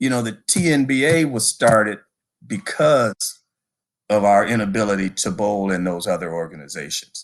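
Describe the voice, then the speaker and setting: A man with an American accent and a normal speaking voice talks at a fairly slow pace with lively intonation. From Detroit, Michigan. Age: 60s. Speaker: bowling hall of fame director. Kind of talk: interview.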